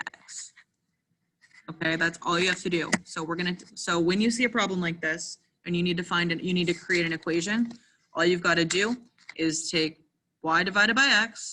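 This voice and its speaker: Pitched fairly low, a woman with a bright, sharp tone and fairly even intonation leaves long, frequent pauses. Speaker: math teacher. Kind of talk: online lesson. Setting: remote class. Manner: fast.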